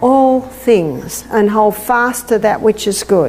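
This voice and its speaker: A woman with an Australian accent speaks at a fairly slow pace in a fairly high pitch, with ordinary pitch variation, noticeable background noise and audible room echo. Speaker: health lecturer. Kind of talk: lecture.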